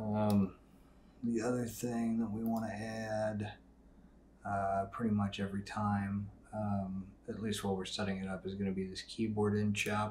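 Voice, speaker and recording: Speaking in a flat, monotone way, a man with a fairly low voice is heard with audible room echo. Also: moderate pace. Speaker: software tutorial creator. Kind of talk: tutorial. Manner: casual with many fillers.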